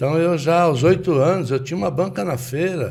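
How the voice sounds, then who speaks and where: A man talks in a dark, mellow tone that is somewhat breathy. The room echo is audible. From Brazil, São Paulo. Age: 70s. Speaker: businessman in car accessories trade. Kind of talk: interview storytelling.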